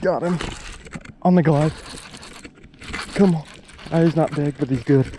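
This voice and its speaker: A man with a fairly high pitch, moderate pace and fairly even intonation, with long, frequent pauses over noticeable background noise. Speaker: fishing video creator. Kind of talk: casual on-the-water vlog commentary. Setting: outdoors on a boat on a lake. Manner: quiet, low-key speaking.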